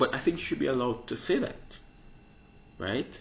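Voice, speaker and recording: In a room with audible echo, a somewhat breathy man speaks in an animated tone. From Jamaica. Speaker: podcaster. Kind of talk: opinion monologue.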